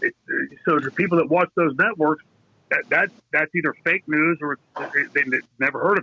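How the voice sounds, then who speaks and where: An ordinary speaking voice at a moderate pace. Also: man. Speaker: former pro wrestler, show guest. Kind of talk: casual talk show conversation.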